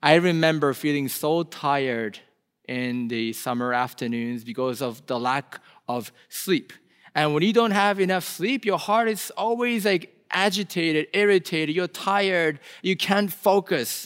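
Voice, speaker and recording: At a fairly slow pace, a man speaks with a Korean accent and very wide pitch swings. The recording is very clean, with a silent background. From South Korea. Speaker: pastor. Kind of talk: sermon. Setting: church.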